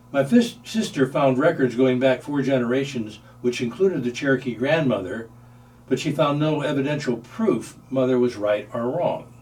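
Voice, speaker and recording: Over noticeable background noise, a man with an American accent speaks at a moderate pace, with medium pitch and ordinary pitch variation. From US Midwest, St. Louis, Missouri. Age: 70s. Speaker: retired researcher sharing family history. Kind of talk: scripted narration.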